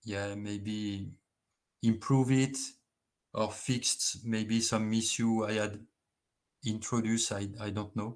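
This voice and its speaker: A man with a French accent speaks at a medium pitch and a very slow pace, in a monotone, flat intonation. Long, frequent pauses break up his speech on a very clean recording with a silent background. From France. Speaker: engineer. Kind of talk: conference presentation. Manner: halting.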